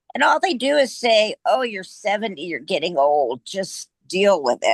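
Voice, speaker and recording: In a dry, close sound with no echo, a woman speaks at a medium pitch and a fairly slow pace, her pitch swinging very widely. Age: 70s. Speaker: retired flight nurse. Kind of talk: testimony.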